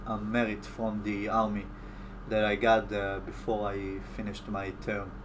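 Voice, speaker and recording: There is audible room echo as a man with an Israeli accent talks at a fairly slow pace and a fairly low pitch. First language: Hebrew. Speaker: YouTube commentator. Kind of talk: live stream Q&A. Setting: live stream from home. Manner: halting.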